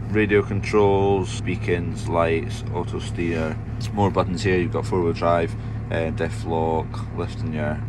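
Over noticeable background noise, a man with a fairly low pitch talks at a moderate pace. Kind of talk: casual vlog chat, cab tour. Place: farm machine. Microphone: phone near.

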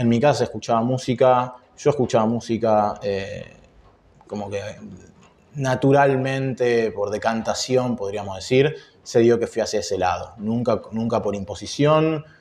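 A man with a Rioplatense accent speaks at a fairly slow pace with fairly even intonation. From Argentina, Buenos Aires. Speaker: jazz guitarist; interviewee. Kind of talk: interview. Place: office.

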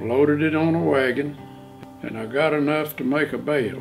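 A man with an American accent, fairly high pitch, ordinary pitch variation and a moderate pace, with clear music in the background. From Oklahoma. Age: 80s+. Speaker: farmer. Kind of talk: interview answer. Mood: calm storytelling. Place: home room.

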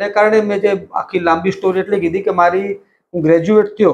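Over light background noise, a man speaks with a high pitch and fairly even intonation. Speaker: newspaper editor. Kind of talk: interview. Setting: editor's cabin in office. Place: office. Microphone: lapel.

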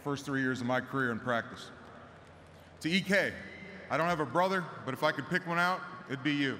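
A man talks at a very fast pace with ordinary pitch variation. Light background noise can be heard. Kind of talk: ceremonial speech. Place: stadium. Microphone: podium.

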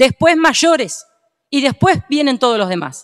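Over a quiet background, a woman speaks at a fairly quick pace in a high voice. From Argentina. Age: 50s. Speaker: provincial legislator. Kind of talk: parliamentary speech. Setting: legislative chamber session. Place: hall. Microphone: podium.

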